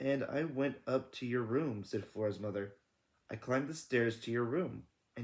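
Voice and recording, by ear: Someone is reading aloud in a natural voice, with ordinary pitch variation. The background is quiet.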